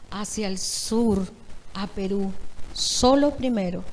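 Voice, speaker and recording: This is a woman speaking. Her pace is very slow. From Venezuela. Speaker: pastor. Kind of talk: testimony.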